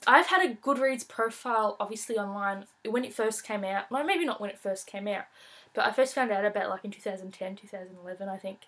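A woman speaks at a fairly quick pace, her medium pitch carrying a fairly bright tone and ordinary pitch variation.

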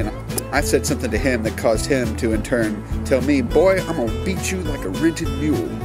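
A man with an American accent at a fairly quick pace, dry sound with no echo, clear music in the background. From Mississippi, USA. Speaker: vlogger. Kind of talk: casual vlog talk to camera. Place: garden. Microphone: phone near.

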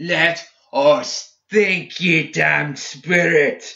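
In a put-on character voice, a man shouts and bellows at a very slow pace with a fairly high pitch, a bright, sharp tone, vocal fry and fairly even intonation.

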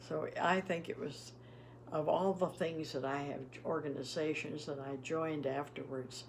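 There is light background noise as a woman talks at a moderate pace. Her voice is very deep and low, with ordinary pitch variation. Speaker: retired PE teacher; interviewee. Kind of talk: casual chat. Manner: halting. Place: home room.

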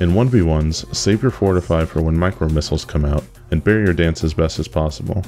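A man's very deep, low voice at a fairly quick pace, with lively intonation over music in the background. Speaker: gamer. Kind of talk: game strategy tips narration.

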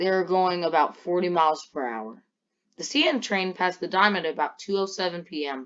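Someone talks in a normal speaking voice at a moderate pace over a quiet background. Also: woman. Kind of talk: documentary narration. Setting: Roblox game footage voiceover. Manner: formal, measured news-style delivery; matter-of-fact, steady pace.

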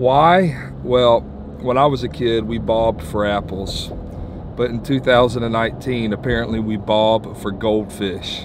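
A man talks at a very slow pace with ordinary pitch variation. The sound is dry with no echo, though noticeable background noise comes through. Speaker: church leader vlogger. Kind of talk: casual vlog chat. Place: car.

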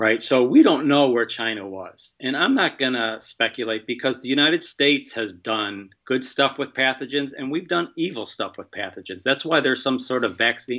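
Over a quiet background, a man talks at a moderate pace with ordinary pitch variation and hardly any pauses. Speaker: infectious disease biosafety expert. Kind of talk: interview. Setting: remote call. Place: home room. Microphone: video call.

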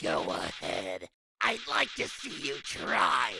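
In a cartoonish character voice, a man growls out very deep, low, raspy words at a very slow pace. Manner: menacing, teasing.

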